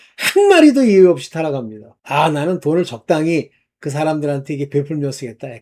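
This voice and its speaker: Recorded very cleanly against a silent background, a man speaks fairly quickly in a fairly high pitch. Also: ordinary pitch variation. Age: 60s. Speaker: online preacher. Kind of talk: sermon-style monologue. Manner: casual, halting with fillers.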